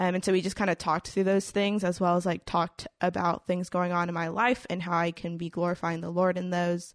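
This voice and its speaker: Fairly quick, flat, monotone speech with an American accent, dry and close with no echo, over a quiet background. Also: woman. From Houston, Texas. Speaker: college student. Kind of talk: casual chat.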